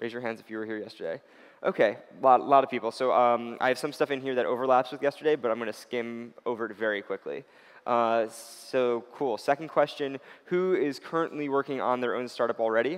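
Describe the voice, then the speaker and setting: Over a quiet background, a man speaks at a fairly quick pace with fairly even intonation. His loudness swings a lot. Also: medium pitch for a man. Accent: American. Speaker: startup consultant giving a workshop. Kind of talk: workshop lecture. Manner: fast. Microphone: echoey reverb.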